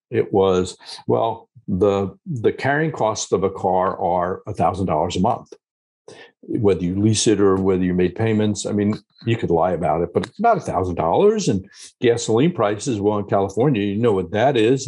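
With an American accent, a man talks at a moderate pace in a fairly low, dark, mellow voice with ordinary pitch variation over a quiet background. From US, Long Island, New York; New York. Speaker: geriatrician and author; guest. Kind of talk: casual interview. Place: office. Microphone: video call.

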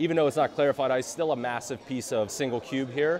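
A man talks at a very fast pace with ordinary pitch variation. Noticeable background noise runs underneath. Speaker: drink reviewer host. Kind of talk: casual review commentary. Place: bar.

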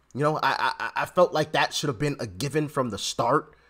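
Quiet surroundings behind a man's voice. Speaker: political commentary vlogger. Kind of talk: commentary. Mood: animated, sarcastic. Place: home room.

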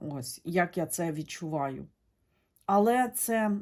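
Very slow delivery with lively intonation, captured in a very clean recording against a silent background. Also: woman. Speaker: tarot reader, video blogger. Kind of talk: monologue to camera, tarot reading. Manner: conversational, hesitant with fillers.

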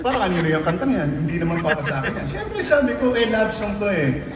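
Amid noticeable background noise and audible room echo, a man speaks at a very fast pace with a high pitch and lively intonation. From Philippines. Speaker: singer. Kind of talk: stage banter to a concert audience. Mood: warm, joking, reminiscing. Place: stage.

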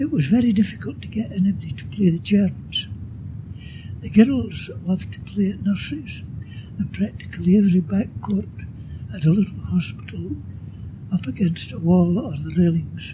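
With a Scottish accent, the speaker swings very widely in pitch and leaves long, frequent pauses over noticeable background noise. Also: man, fairly high pitch for a man, moderate pace. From Glasgow. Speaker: oral history contributor. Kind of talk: oral history reminiscence reading. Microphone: old recording.

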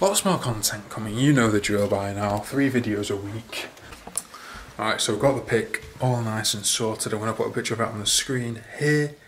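Speaking with a northern English accent, a man keeps a moderate pace, medium pitch and ordinary pitch variation against light background noise. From northern England. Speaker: fitness and fashion vlogger; fashion vlogger. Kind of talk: casual vlog. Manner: casual, chatty. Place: home room. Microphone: phone near.

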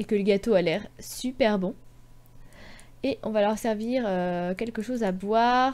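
A woman talks at a fairly slow pace. Her pitch is fairly high, with ordinary variation. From Brittany, France. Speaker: gaming YouTuber. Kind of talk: let's play commentary. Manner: animated.

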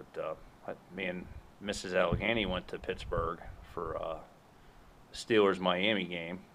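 Against light background noise, a man talks at a moderate pace. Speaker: homestead vlogger. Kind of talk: casual vlog chat. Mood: relaxed, slightly apologetic. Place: farm machine. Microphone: phone near.

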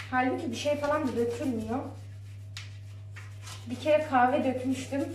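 A woman at a fairly slow pace, with light background noise and audible room echo. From Ankara, Turkey; Turkey. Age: 20s. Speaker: home vlogger, mother; home vlogger. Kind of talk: casual talk to camera, daily vlog. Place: kitchen.

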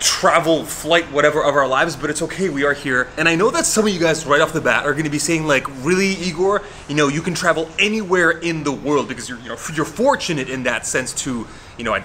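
Light background noise sits behind a man speaking. He talks at a fairly quick pace with ordinary pitch variation. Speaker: fitness vlogger. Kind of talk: casual vlog chat.

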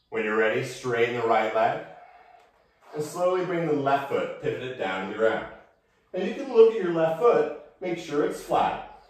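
Amid strong room echo, a man with a fairly high voice speaks at a moderate pace, pitch swinging very widely, with long, frequent pauses. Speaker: yoga instructor. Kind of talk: guided yoga class with calm meditative cueing. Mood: calm, relaxed guidance. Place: home room. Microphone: camera far.

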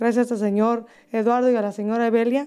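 Against a quiet background, a woman talks very fast in a fairly high pitch, her tone dark and mellow and her intonation monotone and flat. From Mexico, Michoacán. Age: 40s. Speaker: singer; interviewee. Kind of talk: interview. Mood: warm, grateful. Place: studio. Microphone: handheld.

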